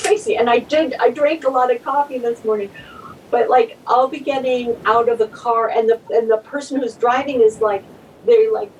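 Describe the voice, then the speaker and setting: A woman's high-pitched voice with lively intonation, amid noticeable background noise. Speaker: novelist. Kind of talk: casual chat. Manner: slow.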